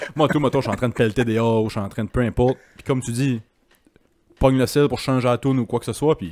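A man of medium pitch talks at a very fast pace with long, frequent pauses, in a dry sound with no echo. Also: ordinary pitch variation. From Quebec. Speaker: podcast host; podcast host or guest. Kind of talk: casual chat. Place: home room. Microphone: handheld.

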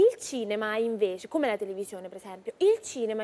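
A woman's voice, dark and mellow in tone, moves with lively intonation. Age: 20s. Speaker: singer and actress; guest singer-actress. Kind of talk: TV interview. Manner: halting. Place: studio.

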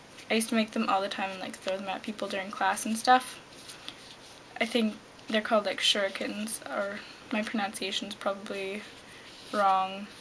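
Quiet, fairly slow speech with fairly even intonation over light background noise. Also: woman. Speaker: vlogger. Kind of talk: casual talk to camera. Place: home room. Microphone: webcam.

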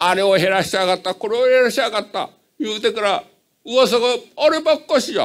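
A high-pitched man with a Hiroshima accent, lively intonation and a fairly quick pace, set against a quiet background. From Japan. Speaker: citizen asking question. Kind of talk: audience question at public meeting. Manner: halting. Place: hall.

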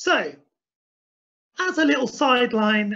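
Against a quiet background, a man projects a raised voice with a bright, sharp tone at a very slow pace. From Essex, England. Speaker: humane wildlife pest controller. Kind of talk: webinar presentation. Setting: online webinar with screen share. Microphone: video call.

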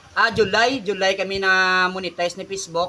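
A man with a high pitch raises and projects his voice at a fairly quick pace. Noticeable background noise runs behind him. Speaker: vlogger. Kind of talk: casual vlog talk to followers.

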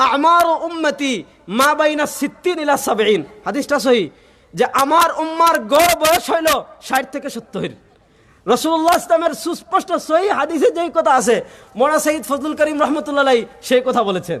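A man's voice sits at an extremely high pitch, with ordinary pitch variation. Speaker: Islamic scholar. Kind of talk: religious lecture.

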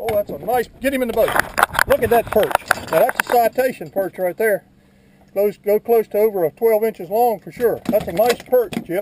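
Speech comes at a moderate pace in a dry sound with no echo, though noticeable background noise is present. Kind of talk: casual commentary. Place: boat. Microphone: camera far.

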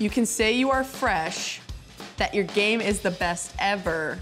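Over faint background music, a woman with a fairly high pitch talks at a moderate pace with ordinary pitch variation. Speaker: professional basketball player. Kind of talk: poetry reading. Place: studio. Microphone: handheld.

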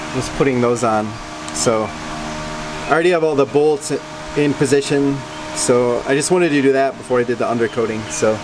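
There is noticeable background noise. A man speaks over it at a moderate pace. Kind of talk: casual vlog tutorial. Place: garage. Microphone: phone near.

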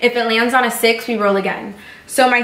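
A woman speaks with ordinary pitch variation. Room echo is audible. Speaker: channel host. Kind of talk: casual vlog chat. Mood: excited, a bit nervous. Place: home room. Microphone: camera far.

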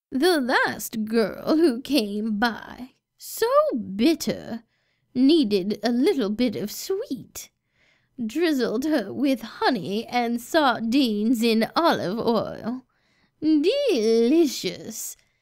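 Speaking at a very slow pace, a woman uses a high pitch and lively intonation. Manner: sweet grandmotherly turning menacing.

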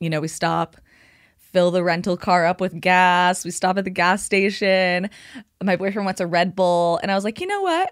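This is a woman speaking. Her pitch is fairly low. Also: quiet background. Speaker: podcast co-host. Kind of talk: casual conversational storytelling. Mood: relaxed, joking. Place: studio. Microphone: studio mic.

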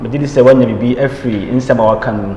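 Speech comes at a fairly quick pace with fairly even intonation, amid light background noise and audible room echo. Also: man. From Ghana. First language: Twi/Akan. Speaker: journalist and show host; journalist, show host. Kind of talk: interview. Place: office.

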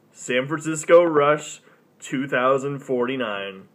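This man's voice sits fairly high, with ordinary pitch variation. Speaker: gaming channel host. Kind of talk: casual live stream talk. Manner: casual, hesitant. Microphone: phone near.

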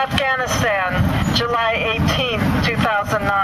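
A man speaks with ordinary pitch variation. Loud noise fills the background. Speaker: memorial name reader. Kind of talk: solemn reading of names. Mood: solemn, measured. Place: street. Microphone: pa.

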